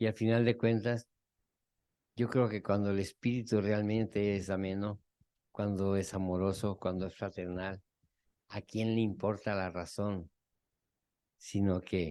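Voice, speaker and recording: Over a quiet background, a man talks at a fairly slow pace in a fairly low pitch, his tone dark and mellow and his intonation fairly even. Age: 60s. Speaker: psychotherapist. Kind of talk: group therapy talk.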